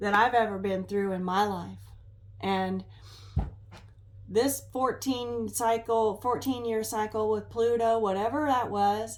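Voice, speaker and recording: A woman with a fairly high voice speaks fairly slowly, with fairly even intonation and long, frequent pauses. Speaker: tarot reader. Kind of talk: tarot reading livestream monologue. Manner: halting, stumbling speech.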